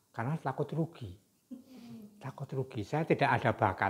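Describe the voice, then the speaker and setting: Somewhat breathy, a man's medium-pitched voice moves with lively intonation. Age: 70s. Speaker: senior legal professional. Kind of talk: casual chat.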